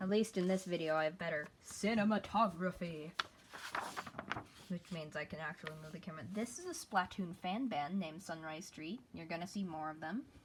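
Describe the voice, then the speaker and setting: A woman's fairly quick speech, with ordinary pitch variation, comes over noticeable background noise. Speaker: hobby artist. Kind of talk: casual talk to camera, sketchbook tour.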